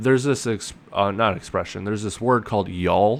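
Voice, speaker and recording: A man with an American accent, fairly low pitch and ordinary pitch variation. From United States. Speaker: wrestling show reviewer. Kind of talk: casual solo review. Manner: rambling, conversational.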